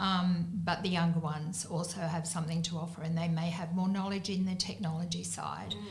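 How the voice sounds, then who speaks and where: A woman with an Australian accent speaks in a fairly low, flat monotone with hardly any pauses, over noticeable background noise and audible room echo. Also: fairly quick pace. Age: 60s. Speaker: business owner. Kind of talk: panel discussion.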